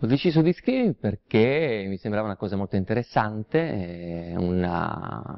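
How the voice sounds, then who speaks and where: Against a quiet background, a man with a fairly low pitch speaks at a moderate pace with lively intonation. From Calabria, southern Italy. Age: 30s. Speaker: showman, impersonator and singer. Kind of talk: talent show contestant interview; interview answer. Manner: halting, with fillers. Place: studio.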